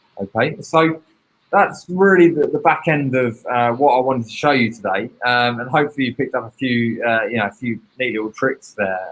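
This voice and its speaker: This man speaks with a British accent at a medium pitch. His pace is fairly quick, with ordinary pitch variation. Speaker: teacher presenting a training session. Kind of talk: online training webinar. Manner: fast.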